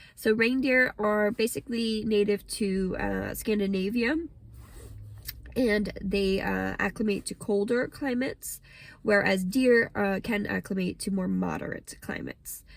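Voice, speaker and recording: A woman with an American accent talks at a fairly slow pace. She has a plain, everyday voice at medium pitch, with fairly even intonation. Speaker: English teacher. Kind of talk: pronunciation lesson to camera.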